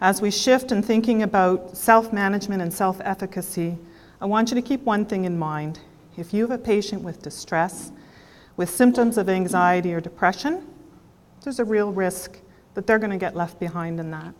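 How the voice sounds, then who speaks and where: Her pitch sits in the middle for a woman and varies in an ordinary way as she speaks. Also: moderate pace. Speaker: health care professional presenting at a conference. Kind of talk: conference presentation. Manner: loud.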